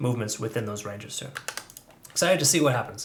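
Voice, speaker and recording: With noticeable background noise, a man talks at a medium pitch with ordinary pitch variation. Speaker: crypto trading analyst. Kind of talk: market analysis video commentary. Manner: fast; casual, filler-heavy.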